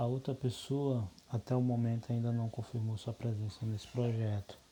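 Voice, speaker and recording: Somewhat breathy, this man's voice has a dark, mellow tone. He speaks at a medium pitch and a fairly slow pace. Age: 30s. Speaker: course instructor, soil lab technician. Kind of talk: lecture. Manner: halting.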